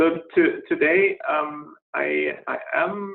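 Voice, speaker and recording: A man with a German accent. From Germany, Berlin. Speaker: scientist presenter. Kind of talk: webinar presentation. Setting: online webinar. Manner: halting, many fillers.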